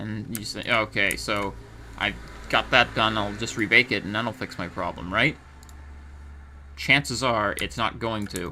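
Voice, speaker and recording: The voice has a bright, sharp tone with vocal fry and ordinary pitch variation. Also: man. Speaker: 3D artist. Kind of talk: software tutorial narration. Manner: slow.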